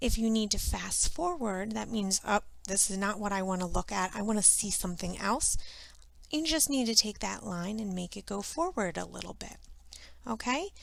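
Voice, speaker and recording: With an unremarkable speaking voice, a woman talks at a moderate pace and medium pitch, her intonation lively. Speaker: art teacher. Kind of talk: tutorial.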